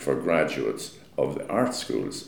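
This man has an Irish accent. He talks at a fairly slow pace, and audible room echo can be heard. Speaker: architect. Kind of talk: interview. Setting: meeting room.

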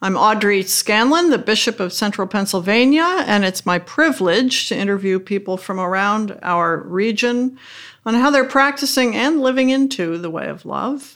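Her pitch is fairly high, and her intonation is lively. This woman talks at a moderate pace in a plain, everyday voice. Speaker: bishop hosting interview podcast. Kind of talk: interview, formal conversation.

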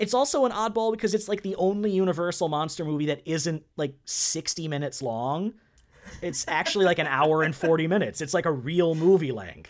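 Animated and lively in intonation, a man with a high voice talks at a fairly quick pace. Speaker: podcast co-host. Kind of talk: casual chat.

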